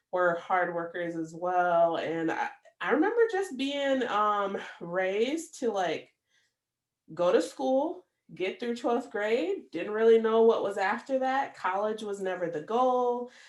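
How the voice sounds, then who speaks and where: At a fairly slow pace, a woman with a Midwestern American accent talks in a fairly high voice with lively intonation. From US Midwest, Michigan (Battle Creek). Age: 30s. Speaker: podcast host. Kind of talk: personal monologue podcast. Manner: casual, many fillers.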